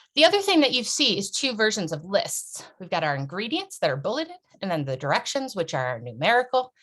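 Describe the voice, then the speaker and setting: A woman's fairly high, quick voice with vocal fry and very wide pitch swings. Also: hardly any pauses. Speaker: workshop presenter on accessibility. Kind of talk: online workshop presentation. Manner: fast.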